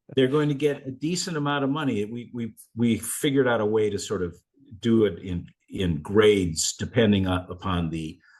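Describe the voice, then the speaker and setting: Lively intonation marks a man's medium-pitched voice as he speaks at a moderate pace. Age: 60s. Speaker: attorney and mental health advocate. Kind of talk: interview. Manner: halting, many false starts.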